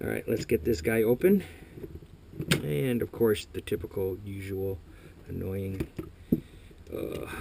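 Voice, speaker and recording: Mumbling at a fairly slow pace, a man speaks with a fairly low pitch and a somewhat breathy sound. His pitch variation is ordinary, and he takes long, frequent pauses. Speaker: airsoft technician. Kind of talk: tutorial. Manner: casual, thinking aloud.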